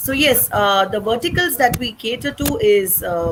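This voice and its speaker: A woman speaks with very wide pitch swings. Noticeable background noise runs beneath her. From India, Chennai (North Indian family). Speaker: social activist, company founder. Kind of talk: interview.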